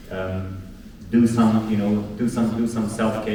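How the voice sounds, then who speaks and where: A man's flat, monotone voice amid noticeable background noise and audible room echo. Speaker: podcast host and community organiser. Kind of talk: closing remarks to live audience. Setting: live event with audience. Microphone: poor audio, no proper mic.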